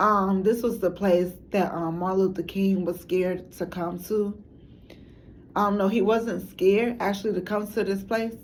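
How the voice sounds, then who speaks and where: A woman speaks with monotone, flat intonation. Audible room echo surrounds her voice. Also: medium pitch for a woman, moderate pace. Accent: American. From Chicago. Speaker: documentary maker, substitute teacher. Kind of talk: documentary monologue. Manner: halting, many fillers.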